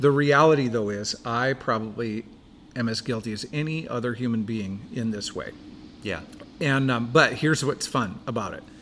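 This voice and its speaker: With an American accent, a man has an unremarkable speaking voice, a medium pitch, ordinary pitch variation, and a moderate pace. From Washington state, Buckley. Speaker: pastor. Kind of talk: casual chat.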